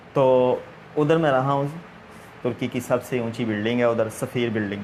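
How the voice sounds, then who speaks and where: Noticeable background noise sits behind a man who speaks with a Punjabi accent and fairly even intonation. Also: medium pitch for a man. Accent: Punjabi accent in Urdu. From Punjab, Pakistan (Gujranwala). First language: Punjabi (speaking Hindi). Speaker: interviewer, religious man. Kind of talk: interview. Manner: hesitant, many fillers.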